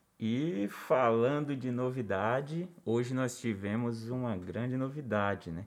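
A man of medium pitch with ordinary pitch variation talks at a very slow pace with hardly any pauses, and audible room echo surrounds his voice. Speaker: podcast co-host. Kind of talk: casual chat.

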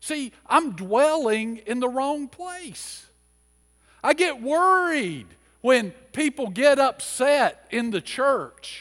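Lively in intonation, a man speaks very slowly at an extremely high pitch. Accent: American. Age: 50s. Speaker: pastor. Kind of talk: sermon. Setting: church.

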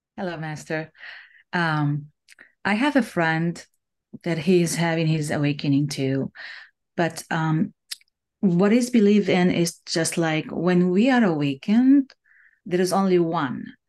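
Speaking with an Arabic accent, a woman with a fairly low pitch moves at a fairly slow pace, her intonation lively and her pauses long and frequent. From Middle East. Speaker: participant asking questions. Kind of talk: casual chat. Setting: video call. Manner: halting.

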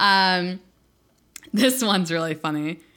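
A loud, animated woman at a medium pitch and fairly slow pace, her tone bright and sharp, on a very clean recording with a silent background. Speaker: podcast co-host. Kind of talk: casual chat, profane. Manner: loud, hyper, animated; excitable, swears constantly.

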